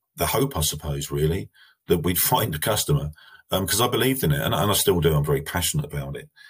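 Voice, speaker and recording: Speaking very fast, a man has a very deep, low voice with an English accent. His pitch varies in an ordinary way. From England. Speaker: manufacturing company CEO. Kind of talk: interview.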